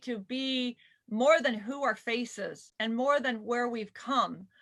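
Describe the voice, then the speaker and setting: In a raised, projected voice with a bright, sharp tone and an American accent, the speaker talks very slowly. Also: woman. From southern California. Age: 50s. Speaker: panel moderator. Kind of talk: live panel discussion. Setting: video call livestream.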